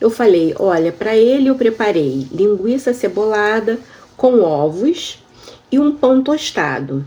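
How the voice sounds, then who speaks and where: A woman speaks with a fairly high pitch that swings very widely. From Brazil. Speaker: YouTuber sharing immigration experience. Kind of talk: personal storytelling vlog. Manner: conversational, addresses viewers.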